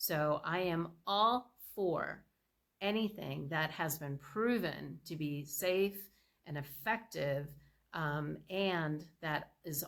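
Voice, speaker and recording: A woman speaks with a very deep, low pitch. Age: 60s. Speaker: product presenter. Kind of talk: sales pitch. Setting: screen-shared slide presentation. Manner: casual, with filler words.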